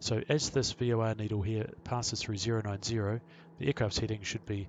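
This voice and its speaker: A man's fairly low voice, fairly even in intonation, at a fairly quick pace. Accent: New Zealand. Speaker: pilot and flight sim tutorial maker. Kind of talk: tutorial. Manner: fast.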